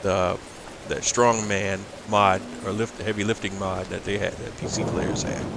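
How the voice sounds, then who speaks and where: Over noticeable background noise, a man talks at a moderate pace in a fairly low pitch with monotone, flat intonation. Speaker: video game streamer. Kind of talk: gameplay commentary. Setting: livestream. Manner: casual, hesitant with fillers.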